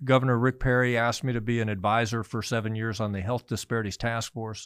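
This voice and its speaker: An unremarkable speaking voice from a man at medium pitch, fairly even in intonation, on a very clean recording with a silent background. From US Midwest, Missouri-born, moved often. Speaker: physician. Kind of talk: interview.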